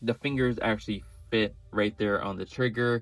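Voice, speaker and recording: Ordinary pitch variation marks an unremarkable speaking voice at a moderate pace. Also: man. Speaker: toy reviewer. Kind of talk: product review. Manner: casual, with fillers.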